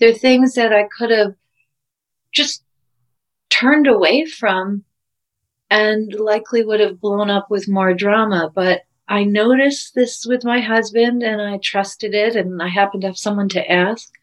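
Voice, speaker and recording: With an ordinary speaking voice, a woman of fairly high pitch talks at a moderate pace with fairly even intonation. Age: 50s. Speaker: physician and couples coach. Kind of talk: interview.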